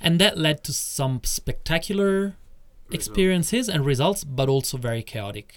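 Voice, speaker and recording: With an Italian accent, a man of fairly high pitch speaks at a moderate pace, his pitch swinging very widely. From Italy (Rome). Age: 40s. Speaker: tantra teacher. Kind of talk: interview.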